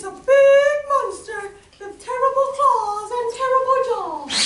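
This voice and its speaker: A put-on character voice, squeaky and extremely high-pitched, speaks at a fairly slow pace. There is a slight echo. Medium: stage play. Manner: bold, boastful.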